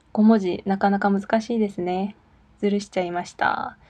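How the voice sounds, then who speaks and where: The woman's voice sits at medium pitch, with a dark, mellow tone and a somewhat breathy quality. Her intonation is monotone and flat, and she sounds nervous. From South Korea, Daegu. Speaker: Korean language teacher and podcast host. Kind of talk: casual solo talk reading listener messages. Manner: nervous, laughs often.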